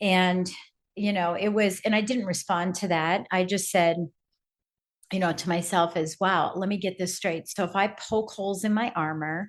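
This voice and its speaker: A woman at medium pitch and a moderate pace, with fairly even intonation and a normal speaking voice. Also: quiet background. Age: 60s. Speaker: speaker and business coach. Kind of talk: podcast interview, personal storytelling. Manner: conversational with many fillers.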